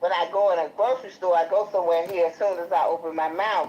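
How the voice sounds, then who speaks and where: Fairly quick and fairly low-pitched, a woman speaks with a Chicago accent. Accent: country-sounding Chicago. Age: 60s. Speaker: guest. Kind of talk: casual chat. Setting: livestream.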